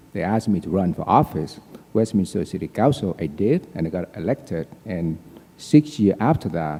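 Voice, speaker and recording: A man speaks in a very deep, low pitch with a dark, mellow tone and a Vietnamese accent. His intonation is lively and his pace moderate. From Vietnam (Saigon), moved to US at 19. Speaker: politician. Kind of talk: candidate forum speech. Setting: auditorium with audience.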